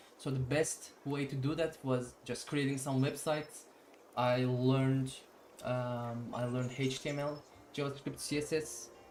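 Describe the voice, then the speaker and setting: With a Turkish accent, a man at medium pitch speaks at a fairly slow pace in a monotone, flat intonation, and audible room echo surrounds the voice. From Turkey. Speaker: programmer live streamer. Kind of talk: live coding stream chat. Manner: halting, many fillers.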